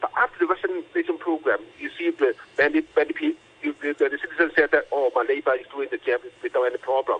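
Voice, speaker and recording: In a Cantonese accent, a man talks at a very fast pace. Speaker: doctor. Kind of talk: radio interview. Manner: halting.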